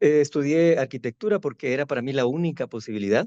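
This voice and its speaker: A man with a Guatemalan accent talks at a fairly quick pace in a dark, mellow tone with a fairly high pitch and ordinary pitch variation, recorded dry and close with no echo against a quiet background. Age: 60s. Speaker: architect and university professor. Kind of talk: interview. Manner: halting, with many fillers.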